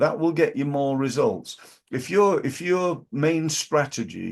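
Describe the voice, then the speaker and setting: Against a quiet background, a man speaks with a British accent. He goes at a fairly slow pace. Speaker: business coach. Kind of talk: business advice talk. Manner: halting.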